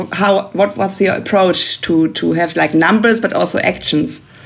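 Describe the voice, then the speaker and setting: A German accent at a moderate pace, with ordinary pitch variation and noticeable background noise. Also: woman. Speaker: podcast host. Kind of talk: interview. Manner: hesitant, frequent fillers.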